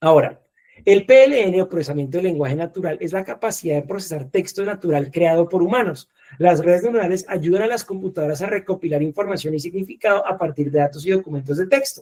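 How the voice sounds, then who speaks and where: A man's dark, mellow voice rushes along at a very fast pace with ordinary pitch variation. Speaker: lecturer. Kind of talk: lecture. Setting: video call. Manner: fast, with wide pitch swings; animated.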